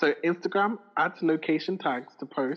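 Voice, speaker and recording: Moderate pace, ordinary pitch variation, and a plain, everyday voice from a man. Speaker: podcast co-host. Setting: remote recording.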